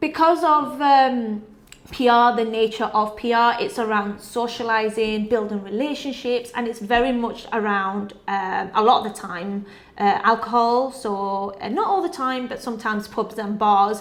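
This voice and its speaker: A woman's fairly high voice moves at a moderate pace with ordinary pitch variation, and noticeable background noise is present. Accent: northern English. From northern England, Sheffield. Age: 20s. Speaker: PR and communications professional. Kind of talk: award nominee video testimony.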